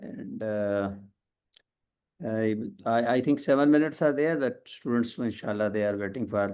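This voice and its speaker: A man talks at medium pitch and a moderate pace, with long, frequent pauses. His tone is dark and mellow. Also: ordinary pitch variation. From Pakistan. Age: 70s. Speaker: professor. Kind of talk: casual chat. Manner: halting.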